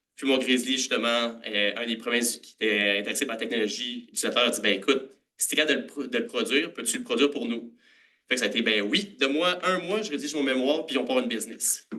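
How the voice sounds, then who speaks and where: With a bright, sharp tone, a man talks very fast at medium pitch, with ordinary pitch variation and big swings in loudness. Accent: Montreal. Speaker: food science graduate and startup cofounder. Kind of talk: conference presentation. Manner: casual with many filler hesitations.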